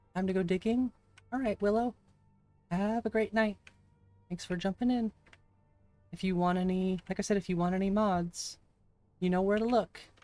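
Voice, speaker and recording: A woman with a medium pitch speaks at a moderate pace, her intonation fairly even and her pauses long and frequent. The sound is dry and close with no echo, with music in the background. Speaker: streamer. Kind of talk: live gameplay stream chat.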